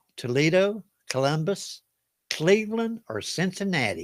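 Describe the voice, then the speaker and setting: Here a man speaks in a Southern US accent with lively intonation. The recording is very clean, with a silent background. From US South. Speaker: game show host. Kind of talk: live trivia game hosting. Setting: livestream. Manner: casual, folksy.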